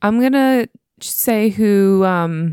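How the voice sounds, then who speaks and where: An American accent in a dry, close sound with no echo. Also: woman. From Pittsburgh, US. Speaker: podcast co-host. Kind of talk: casual chat. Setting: Skype call.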